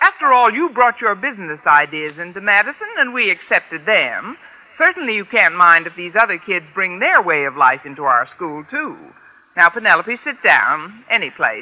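A woman in a put-on character voice speaks at a fairly low pitch and a moderate pace with few pauses, big pitch swings and a bright, sharp tone.

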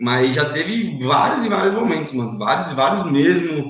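A man with an unremarkable speaking voice, fairly high pitched, with lively intonation. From São Paulo state (Itapevi, greater São Paulo). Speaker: network marketing leader, former engineer. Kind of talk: live interview. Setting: online live stream. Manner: casual slangy speech.

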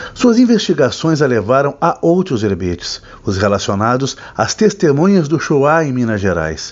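A man with a fairly high pitch speaks with very wide pitch swings and hardly any pauses. Noticeable background noise is audible. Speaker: book reviewer host. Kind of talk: dramatic literary narration, solemn and elegiac book recommendation. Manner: grave, measured, somber and poetic, with theatrical pauses; formal, deliberate, evocative delivery.

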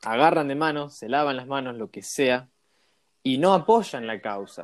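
At a moderate pace, a man talks in a medium pitch. His pitch variation is ordinary. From Argentina, rural Córdoba province. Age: 20s. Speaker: podcast host. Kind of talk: casual interview chat. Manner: animated.

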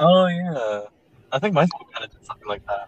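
A man at a fairly high pitch and fairly quick pace, with very wide pitch swings and a dry, close sound with no echo. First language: Spanish. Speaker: student podcast host. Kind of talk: casual chat.

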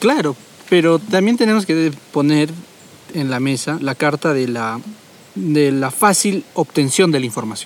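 A man talks at a fairly slow pace with lively intonation and a fairly high pitch. Noticeable background noise runs under his voice. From Peru, Tarapoto. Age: young. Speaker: podcast host. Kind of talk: casual chat.

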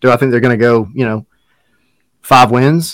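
A man with a plain, everyday voice speaks at medium pitch and a fairly quick pace, his intonation fairly even. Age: 30s. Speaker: soccer podcast co-host. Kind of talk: casual chat. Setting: live stream.

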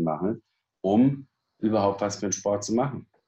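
With ordinary pitch variation, a man speaks in a fairly low voice. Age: 60s. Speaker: fitness and back-training expert. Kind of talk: interview. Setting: studio.

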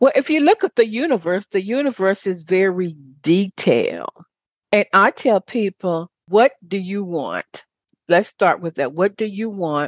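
A woman in an ordinary speaking voice talks at a fairly slow pace and medium pitch, her intonation lively, in a dry, close sound with no echo. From US South. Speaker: radio talk show host and motivational speaker. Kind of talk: interview.

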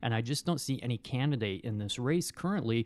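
The speaker is a man with a medium pitch. He talks at a fairly quick pace. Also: very clean recording, silent background. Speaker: podcast co-host. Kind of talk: casual chat. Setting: studio. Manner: quieter than co-host.

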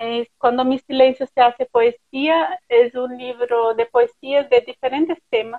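A woman's high-pitched voice in a Portuguese accent, fairly slow with hardly any pauses and fairly even intonation. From Brazil. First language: Portuguese (speaking Spanish). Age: 30s. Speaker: writer. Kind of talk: interview. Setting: live stream.

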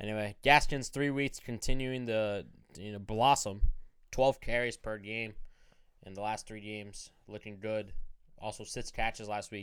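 The delivery is at a moderate pace in a plain, everyday voice with fairly even intonation. Loudness swings widely, and the recording is very clean with a silent background. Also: man, fairly low pitch for a man. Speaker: fantasy football podcast host. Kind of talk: casual chat. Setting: studio. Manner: profane, joking.

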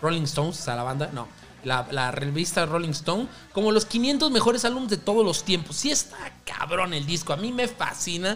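Noticeable background noise sits behind a man speaking at a moderate pace in a high voice. His tone is animated, with very wide pitch swings. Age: 20s. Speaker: podcast host. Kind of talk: casual music podcast monologue. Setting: home recording at night.

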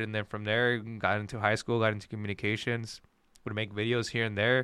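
A man speaks at a moderate pace in a fairly low pitch, his intonation monotone and flat. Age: 20s. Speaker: videographer and mortgage lender. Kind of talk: casual chat.

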